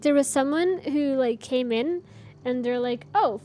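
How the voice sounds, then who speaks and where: Over music in the background, a woman talks at a fairly slow pace, her high pitch taking very wide swings. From Canada. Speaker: live streamer, gamer. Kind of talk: casual chat. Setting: live stream at desk. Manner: animated.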